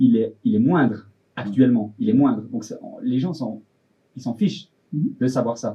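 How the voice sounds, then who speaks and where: A man's fairly high, somewhat breathy voice with lively intonation. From Switzerland. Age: 20s. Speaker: fashion designer. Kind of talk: casual interview. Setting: studio.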